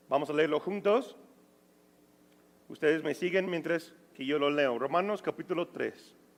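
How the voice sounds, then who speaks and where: Speaking in a non-native accent, a man talks at a fairly slow pace with long, frequent pauses, a fairly high pitch and ordinary pitch variation. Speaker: pastor. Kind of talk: Bible study.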